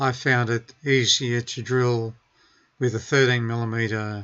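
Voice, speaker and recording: Against a quiet background, the speaker talks at a very slow pace in an Australian accent with monotone, flat intonation. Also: man. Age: 70s. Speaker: car DIY hobbyist. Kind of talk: tutorial.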